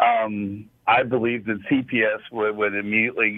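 The man has an unremarkable speaking voice with an American accent. His pitch is fairly low and his intonation fairly even. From Las Vegas, Nevada. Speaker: caller, retired school bus driver. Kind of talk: call-in radio chat.

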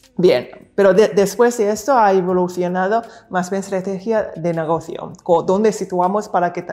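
A medium-pitched woman with fairly even intonation. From Hong Kong and Macau. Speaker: futurist and entrepreneur. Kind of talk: interview. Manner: halting, with many fillers and repetitions.

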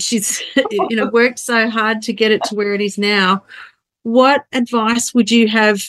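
Here a woman speaks at a fairly slow pace. Her pitch is fairly high. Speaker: podcast host. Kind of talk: interview. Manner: enthusiastic.

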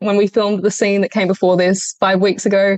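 A woman speaks with an Australian accent at a fairly quick pace and a medium pitch. The recording is dry and close, with no echo. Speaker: actress. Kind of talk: interview. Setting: video call.

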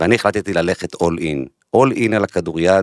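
Speaking at a moderate pace, a man has a very deep, low pitch with ordinary pitch variation in a dry, close sound with no echo. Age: 40s. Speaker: podcast host, marketing executive. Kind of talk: interview; scripted intro. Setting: studio.

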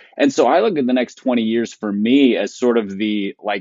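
This man has a normal speaking voice, talking at a moderate pace in a medium pitch with fairly even intonation. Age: 40s. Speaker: pastor and podcast co-host. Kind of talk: casual chat. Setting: studio.

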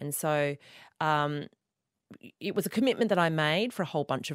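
A woman with an Australian accent speaks in a very deep, low pitch with lively intonation. The sound is dry and close with no echo, on a very clean recording with a silent background. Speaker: author and podcaster. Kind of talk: interview conversation.

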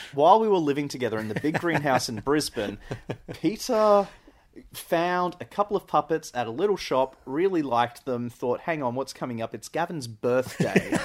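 Here a man talks with an Australian accent. His intonation is lively. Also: fairly high pitch for a man, moderate pace, very clean recording, silent background. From Australia (central Queensland). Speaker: podcast host's cousin. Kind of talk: casual chat. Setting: on a couch in an apartment.

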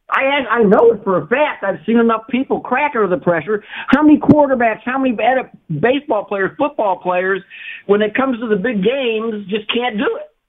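At a fairly quick pace, a man with an American accent talks in an extremely high pitch. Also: ordinary pitch variation. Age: 70s. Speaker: caller. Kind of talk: call-in talk. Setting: phone call.

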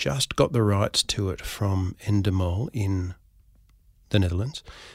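A man with an Australian accent speaks at a fairly slow pace and fairly low pitch, somewhat breathy, in a very clean, dry, close recording with no echo and a silent background. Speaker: actor and comedy writer. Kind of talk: interview conversation.

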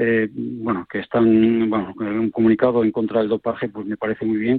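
A man speaks fairly quickly in a medium pitch. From Asturias, Spain (Villaviciosa). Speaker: sports medicine doctor. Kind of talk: radio panel discussion. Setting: phone call.

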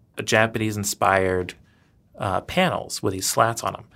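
A man with an American accent speaks in an ordinary speaking voice at a moderate pace. His pitch varies in an ordinary way on a very clean recording with a silent background. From US South (Louisiana and Georgia). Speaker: architect and designer. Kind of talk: interview. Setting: studio.

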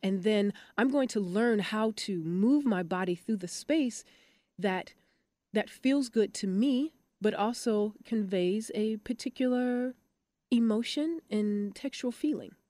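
A woman's fairly high-pitched, ordinary speaking voice at a fairly slow pace, with ordinary pitch variation, dry and close with no echo, in a very clean recording with a silent background. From Michigan, US Midwest (Detroit). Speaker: dance company artistic director. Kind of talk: interview.

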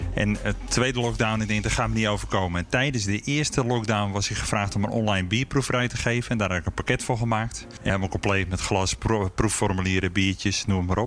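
With an ordinary speaking voice, a man talks at a fairly quick pace and fairly low pitch, keeping his intonation fairly even and leaving hardly any pauses. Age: 40s. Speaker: beer café owner and brewer. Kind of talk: interview. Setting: empty restaurant in a fort.

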